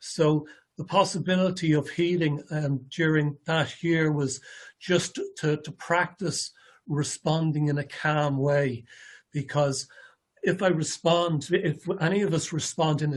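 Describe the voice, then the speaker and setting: Fairly high in pitch, a man with an Irish accent keeps a fairly even intonation. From Ireland. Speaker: ALS patient presenter. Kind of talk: presentation. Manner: halting, many fillers and repetitions.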